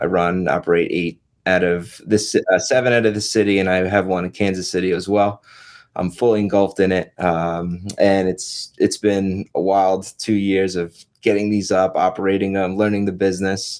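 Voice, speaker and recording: A man with a New York accent speaks at a moderate pace in a very deep, low voice. His intonation is flat and monotone, on a very clean recording with a silent background. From New York (Long Island). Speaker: real estate agent and investor. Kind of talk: podcast interview.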